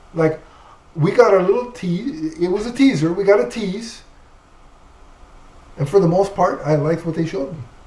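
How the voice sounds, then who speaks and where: High in pitch, a man speaks with very wide pitch swings and long, frequent pauses. Noticeable background noise fills the recording. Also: moderate pace. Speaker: comic book podcast co-host. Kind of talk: casual chat.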